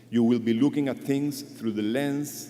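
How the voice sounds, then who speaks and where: This man has a dark, mellow tone and speaks with a non-native accent. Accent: non-native English speaker. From Chile. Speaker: conservationist speaker at a memorial. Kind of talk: memorial tribute speech.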